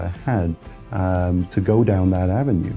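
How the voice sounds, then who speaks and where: With a British accent, a man speaks in a fairly low pitch. His pitch varies in an ordinary way, and music plays in the background. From United Kingdom. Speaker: licensed insolvency trustee. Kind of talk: interview answer.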